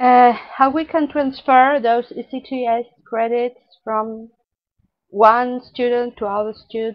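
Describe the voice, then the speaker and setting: Pitched high, a woman speaks at a very slow pace with fairly even intonation. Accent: non-native. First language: not English. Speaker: webinar presenter, dietetics educator. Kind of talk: webinar presentation. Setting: online webinar. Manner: halting, with hesitations and restarts.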